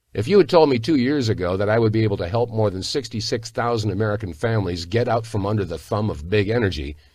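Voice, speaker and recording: A man at medium pitch sounds enthusiastic, with lively intonation. He talks at a fairly quick pace and is somewhat breathy. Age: 60s. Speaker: sales video narrator. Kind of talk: sales pitch.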